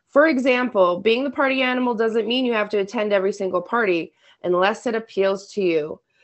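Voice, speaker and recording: This is a woman with a normal speaking voice. Her pitch is fairly high, with ordinary pitch variation. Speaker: podcast co-host, works long shifts. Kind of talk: casual chat.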